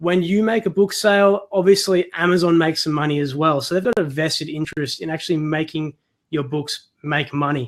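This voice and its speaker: A man with an Australian accent, fairly high-pitched, at a fairly quick pace with ordinary pitch variation. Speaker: self-publisher and online course creator. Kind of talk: webinar presentation. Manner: casual, conversational.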